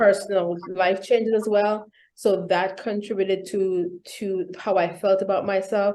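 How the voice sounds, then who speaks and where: A woman with a Vincentian accent speaks at a moderate pace in a medium pitch with monotone, flat intonation. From Saint Vincent and the Grenadines. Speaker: executive coach and keynote speaker. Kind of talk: interview.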